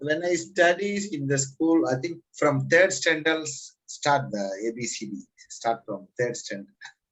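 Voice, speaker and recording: With a Tamil accent, a man talks at a fairly high pitch and a fairly slow pace, his intonation lively. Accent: Indian Tamil English. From Tamil Nadu, India. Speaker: language student. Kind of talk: casual conversation lesson. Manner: halting.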